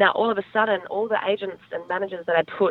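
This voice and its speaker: Speaking with an Australian accent, a woman delivers her words at a fairly quick pace in a monotone, flat intonation. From Australia, Adelaide. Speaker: talent manager and entrepreneur. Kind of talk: interview.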